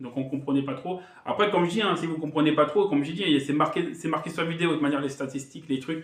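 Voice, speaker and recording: This is a man's voice. His intonation is fairly even. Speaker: gaming youtuber. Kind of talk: casual vlog talk to viewers. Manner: fast; hesitant, halting.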